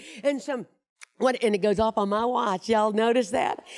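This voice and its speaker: Here a woman talks in a normal speaking voice at a moderate pace. Her pitch sits fairly high. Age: 60s. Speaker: motivational speaker. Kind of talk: keynote speech. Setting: stage with audience.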